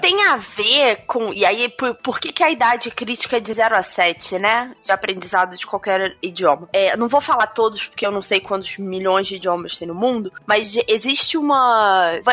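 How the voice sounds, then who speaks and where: Over music in the background, a woman speaks at a moderate pace with hardly any pauses, using a fairly high pitch with ordinary variation. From Brazil. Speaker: English teacher. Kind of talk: casual panel discussion.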